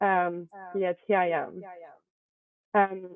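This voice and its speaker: With a French accent, a woman is speaking. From France, Paris. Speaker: private equity associate. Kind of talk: interview.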